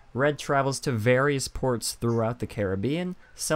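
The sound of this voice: With ordinary pitch variation, the reading voice stays unforced.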